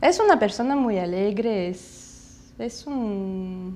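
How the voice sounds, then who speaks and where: Using a medium pitch with ordinary variation, a woman speaks with a Russian accent. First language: Russian (speaking Spanish). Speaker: daughter of exile. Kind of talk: documentary interview.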